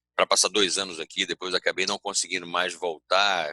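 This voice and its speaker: A man speaks in a Bahian accent with a dry, close sound and no echo. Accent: Bahian Brazilian Portuguese. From Bahia, Brazil. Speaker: organizational culture consultant, speaker. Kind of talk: conference talk. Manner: hesitant fillers, self-corrections.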